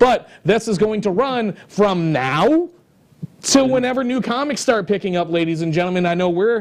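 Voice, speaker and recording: Loud and animated, a man talks at a fairly quick pace with lively intonation. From New England. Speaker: comic book show host. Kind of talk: casual chat.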